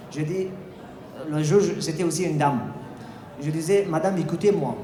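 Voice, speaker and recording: A man's high-pitched voice at a moderate pace, with ordinary pitch variation and noticeable background noise. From Afghanistan. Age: 20s. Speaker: sociology student and political refugee. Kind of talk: festival talk, personal testimony.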